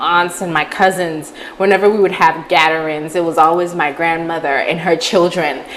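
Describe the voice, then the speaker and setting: Against noticeable background noise, a woman with a fairly low pitch talks at a moderate pace with fairly even intonation and hardly any pauses. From Saint Martin, Caribbean. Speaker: activist and motivational speaker. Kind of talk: interview, personal story.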